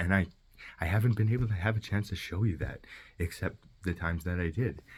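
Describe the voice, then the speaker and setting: Somewhat breathy, a man speaks at a fairly quick pace with fairly even intonation on a very clean recording with a silent background. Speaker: vlogger. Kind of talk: personal video message. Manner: fast; halting.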